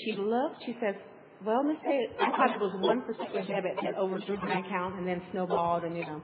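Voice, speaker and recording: Amid noticeable background noise, a woman speaks at a medium pitch with ordinary pitch variation. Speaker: congregation member. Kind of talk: testimony.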